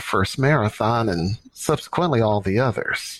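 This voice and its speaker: Here is a man with an unremarkable speaking voice and lively intonation. He talks at a moderate pace. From US Midwest, St. Louis. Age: 60s. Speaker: marathon coach and business executive. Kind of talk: interview.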